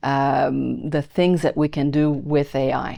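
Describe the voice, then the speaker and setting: A woman with a slight Quebec accent speaks very slowly in a dark, mellow tone. The background is quiet. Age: 60s. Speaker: YouTuber teaching AI to over-50s. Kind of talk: casual talk to camera.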